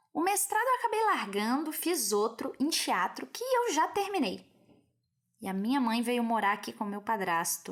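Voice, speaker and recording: In a Brazilian accent, a woman speaks fairly slowly in a high voice with very wide pitch swings. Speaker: schoolteacher. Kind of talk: personal testimony.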